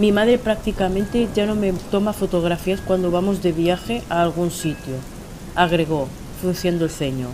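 A woman at a medium pitch talks at a moderate pace with ordinary pitch variation, over noticeable background noise. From Spain. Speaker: writer. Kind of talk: reading aloud.

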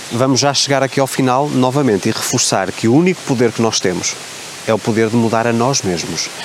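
A man at a fairly quick pace, his loudness very even, over noticeable background noise. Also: medium pitch for a man, ordinary pitch variation. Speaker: self-help coach and YouTuber. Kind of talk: motivational vlog monologue. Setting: outdoors by a waterfall.

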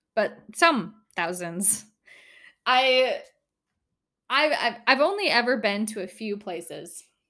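At a very slow pace with long, frequent pauses, a woman with an Upper Midwest accent speaks in a high, bright, sharp voice with very wide pitch swings, on a very clean recording with a silent background. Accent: Upper Midwest American. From northern Minnesota. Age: 20s. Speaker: podcast host. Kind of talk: casual monologue. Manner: giggly, laughs often.

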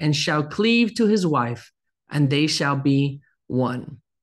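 A man's fairly high, unremarkable speaking voice with lively intonation at a fairly slow pace. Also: quiet background. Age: 30s. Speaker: pastor. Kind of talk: sermon.

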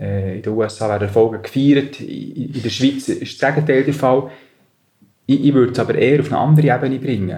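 With a Bernese accent, a man talks at a fairly quick pace in a somewhat breathy, dark, mellow tone, his medium pitch moving with ordinary variation. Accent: Bernese Swiss German. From Switzerland, Bern area. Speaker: business manager. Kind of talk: interview.

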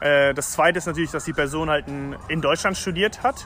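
A man speaks at a very fast pace with a fairly high pitch and fairly even intonation. Noticeable background noise can be heard. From Germany, Leverkusen, also raised in Spain, China, Colombia. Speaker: start-up founder. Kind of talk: casual interview.

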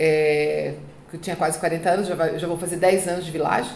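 A woman's voice carries audible room echo. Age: 40s. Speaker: trademark and patent consultant. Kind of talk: casual interview. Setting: office, in person.

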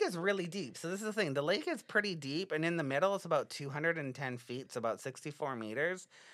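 Over a silent background on a very clean recording, a man talks very fast in a bright, sharp tone, his high pitch making very wide swings. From British Columbia, Canada. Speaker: podcast co-host. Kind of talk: casual chat; reading aloud.

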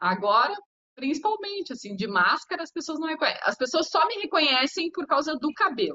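Her pitch is high for a woman and swings very widely. The woman speaks at a fairly quick pace. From Porto Alegre, Rio Grande do Sul, southern Brazil. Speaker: TV presenter, celebrity gossip. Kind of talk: casual interview.

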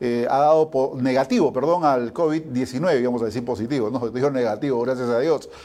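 The tone is dark and mellow, at a moderate pace. Pitch varies normally, and the recording is very clean with a silent background. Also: man, medium pitch for a man. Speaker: sports show host. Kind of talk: news reading.

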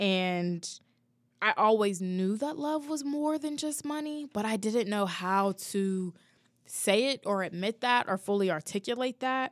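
A woman with an unremarkable speaking voice talks at a fairly slow pace, her fairly high pitch moving with lively intonation. The very clean recording has a silent background and a dry, close sound with no echo. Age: 20s. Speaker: podcast host. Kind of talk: solo personal reflection podcast. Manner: casual, many fillers and laughs.

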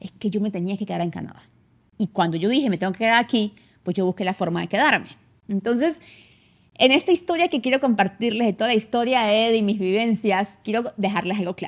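Delivered at a very fast pace, the speech has an animated tone and lively intonation on a very clean recording with a silent background. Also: woman, fairly high pitch for a woman. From Venezuela, San Cristóbal (Táchira). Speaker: immigration consultant and podcast host. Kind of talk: casual monologue.

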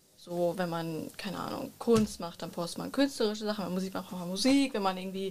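Ordinary pitch variation from a woman, with noticeable background noise. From Germany, Bielefeld. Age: 20s. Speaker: media design student. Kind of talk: casual chat.

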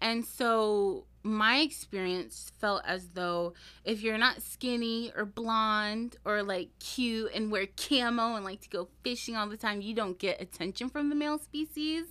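On a very clean recording with a silent background, a woman with an American accent speaks at a fairly slow pace and fairly high pitch, with a bright, sharp tone, ordinary pitch variation and big swings in loudness. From Washington State, US (small town). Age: 20s. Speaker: plus size model. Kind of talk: casual chat. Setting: studio.

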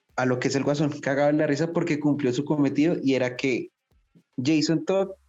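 Music plays behind a man whose pitch is fairly high. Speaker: podcast co-host. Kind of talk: casual chat.

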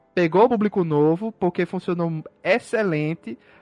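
A man speaks at a moderate pace in a high voice with ordinary pitch variation. The sound is dry and close, with no echo. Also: quiet background. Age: 30s. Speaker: podcast host. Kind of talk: casual chat.

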